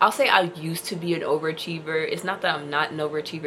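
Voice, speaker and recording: Against noticeable background noise, a woman with a very deep, low pitch rushes along at a very fast pace in a monotone, flat intonation. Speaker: independent musician and vlogger. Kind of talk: casual vlog monologue.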